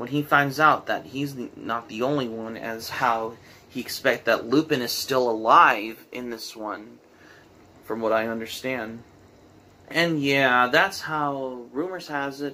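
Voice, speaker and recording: Speaking at a fairly slow pace, a man has a bright, sharp tone, big swings in loudness and ordinary pitch variation. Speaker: anime reviewer. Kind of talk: film review commentary. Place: home room. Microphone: camera far.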